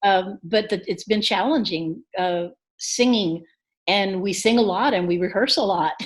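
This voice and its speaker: A woman speaks at a fairly slow pace in a plain, everyday voice. Her pitch is medium, with ordinary pitch variation. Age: 60s. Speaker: singer-songwriter. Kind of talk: interview.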